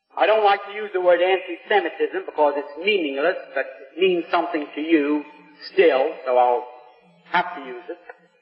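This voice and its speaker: A man's high voice at a moderate pace, with ordinary pitch variation and noticeable background noise. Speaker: businessman. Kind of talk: public speech to a live audience. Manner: extemporaneous.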